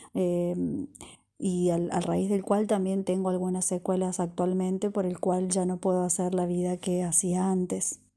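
At a medium pitch, a woman speaks in a flat monotone at a fairly slow pace, her tone dark and mellow. Her loudness stays very even, and the recording is very clean with a silent background. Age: 30s. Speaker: crochet designer and podcaster. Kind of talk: personal monologue podcast.

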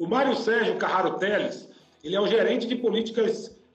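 A man talks at a moderate pace with a high pitch and fairly even intonation. Noticeable background noise and audible room echo surround him. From Brazil, Salvador (Bahia). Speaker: lawyer and engineering professor. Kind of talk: online presentation and interview. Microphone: connection cutting out.

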